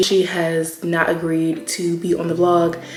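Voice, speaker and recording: A woman with a fairly low pitch is heard through audible room echo and noticeable background noise. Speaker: vlogger. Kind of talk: casual vlog chat.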